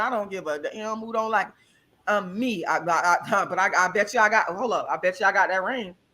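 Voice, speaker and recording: A loud, animated woman's voice at a medium pitch, bright and sharp in tone, at a fairly quick pace. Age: 40s. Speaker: vegan health guest. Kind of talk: casual chat.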